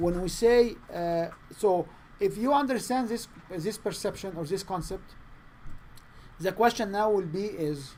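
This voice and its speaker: A man's high-pitched voice with a non-native accent, ordinary pitch variation and a moderate pace. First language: not English. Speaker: sales trainer. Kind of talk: training session. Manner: halting.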